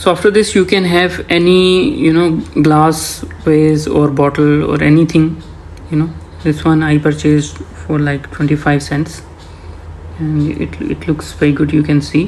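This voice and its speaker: A man talks at a fairly slow pace. Noticeable background noise sits behind him. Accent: non-native. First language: not English. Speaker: home gardener. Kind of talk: voice-over tutorial. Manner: hesitant, many fillers.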